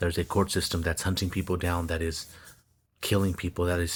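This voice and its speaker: A man talks with a very deep, low pitch at a fairly quick pace, somewhat breathy. His intonation is monotone and flat. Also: very clean recording, silent background. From Stockton, California, Mexican American. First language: Spanish. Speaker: social media commentator. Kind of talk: monologue mixing reading aloud and commentary. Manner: halting, repeats words.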